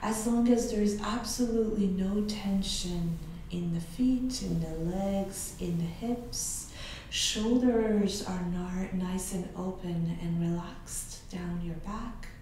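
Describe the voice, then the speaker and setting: A woman speaks at a very slow pace with fairly even intonation, light background noise and audible room echo. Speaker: yoga instructor. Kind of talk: guided meditation. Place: home room.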